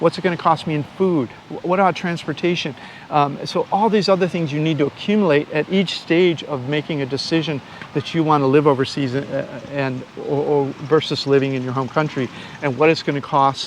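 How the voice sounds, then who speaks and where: A man with an American accent at a fairly high pitch, fairly quick pace and ordinary pitch variation, over noticeable background noise. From United States. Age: 60s. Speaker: YouTuber and online course seller. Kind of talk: interview answer, casual explanation. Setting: outdoors on a beach. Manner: halting, many fillers and restarts.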